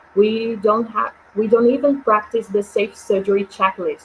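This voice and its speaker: Over noticeable background noise, a woman with a Portuguese accent talks with fairly even intonation. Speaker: webinar moderator. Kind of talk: webinar moderation.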